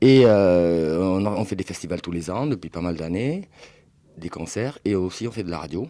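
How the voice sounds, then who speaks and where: A man speaks at a fairly slow pace in a very deep, low voice. His tone is dark and mellow, with ordinary pitch variation. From southwest France, Bordeaux. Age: 40s. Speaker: record dealer. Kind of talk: interview. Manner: hesitant, many fillers.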